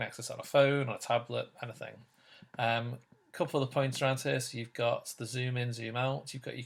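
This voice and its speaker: A man speaks with a British accent at a medium pitch. His intonation is monotone and flat, on a very clean recording with a silent background. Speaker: teacher. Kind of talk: tutorial. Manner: fast.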